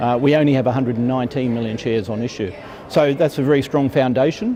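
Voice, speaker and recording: A man at a very fast pace, with an Australian accent, medium pitch and ordinary pitch variation, over noticeable background noise. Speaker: mining company executive. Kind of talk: conference interview. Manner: hesitant, many fillers.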